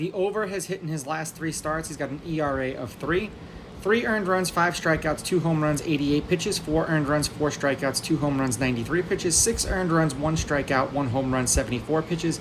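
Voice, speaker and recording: Speech moves at a fairly quick pace with hardly any pauses, over noticeable background noise. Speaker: sports betting analyst. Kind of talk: sports betting rundown. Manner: fast.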